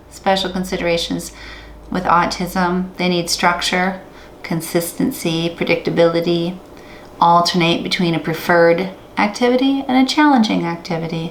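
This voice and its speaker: Amid audible room echo and noticeable background noise, a woman with a fairly low pitch speaks at a moderate pace with ordinary pitch variation. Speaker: music therapy professor. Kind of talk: lecture.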